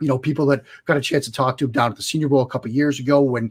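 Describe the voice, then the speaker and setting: A man speaks at a medium pitch with a somewhat breathy sound on a very clean recording with a silent background. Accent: Boston. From US Northeast, Boston area. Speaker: football analyst. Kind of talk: interview.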